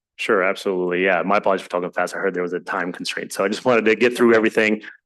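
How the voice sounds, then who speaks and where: A man speaks at a very fast pace in a fairly low pitch against a quiet background. His intonation is fairly even. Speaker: presenter on student homelessness services. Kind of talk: public meeting testimony. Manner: halting.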